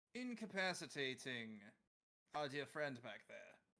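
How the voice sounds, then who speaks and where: A man puts on a character voice. He pitches it fairly high. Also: fairly slow pace. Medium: actual play. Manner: polite, condescending, menacing.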